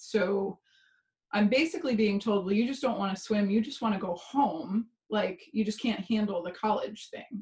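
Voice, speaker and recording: Somewhat breathy, the voice shows ordinary pitch variation. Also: woman. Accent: American. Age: 40s. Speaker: pain coach and former swimmer. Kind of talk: interview storytelling.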